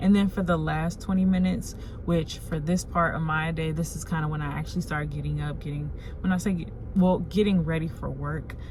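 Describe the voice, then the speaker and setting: The speech comes at a moderate pace. There is audible room echo and noticeable background noise. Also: woman. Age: 20s. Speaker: lifestyle YouTuber. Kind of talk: self-help tutorial. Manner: casual, animated.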